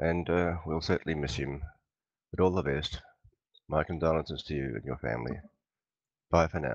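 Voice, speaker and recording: Vocal fry runs through speech at a moderate pace with ordinary pitch variation and long, frequent pauses. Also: man, very deep, low pitch for a man. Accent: Australian. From Australia. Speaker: flight sim pilot. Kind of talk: condolence message.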